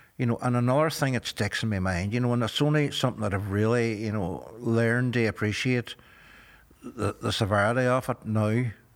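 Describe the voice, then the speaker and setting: A fairly quick man's voice with a Derry accent, medium in pitch, with fairly even intonation. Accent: Northern Irish (Derry). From Northern Ireland, Derry. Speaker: former paramilitary prisoner. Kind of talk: interview testimony.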